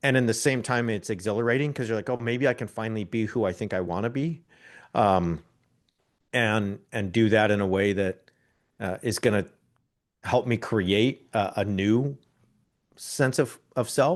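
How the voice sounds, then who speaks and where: Against a quiet background, a man with a Californian accent speaks at a medium pitch with long, frequent pauses. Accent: General American, Californian. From Southern California (near Anaheim). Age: 40s. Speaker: podcaster and writer. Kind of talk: interview conversation. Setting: podcast interview. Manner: repeats words, halting starts.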